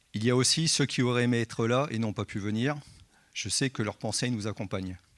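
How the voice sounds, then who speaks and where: At a fairly quick pace, a man with medium pitch and ordinary pitch variation speaks in an ordinary speaking voice. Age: 60s. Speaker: church member giving baptism testimony. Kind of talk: testimony. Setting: church service.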